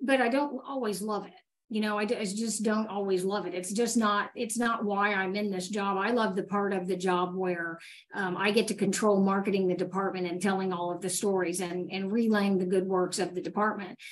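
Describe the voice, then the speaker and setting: A woman in an unremarkable speaking voice talks at a moderate pace and medium pitch with ordinary pitch variation. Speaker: fire battalion chief and PIO. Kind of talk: panel discussion. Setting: video call.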